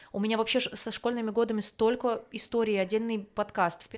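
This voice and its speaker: The woman has an ordinary speaking voice, pitched fairly high. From small eastern ethnic group. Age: 30s. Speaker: podcast co-host, migrant. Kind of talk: casual chat.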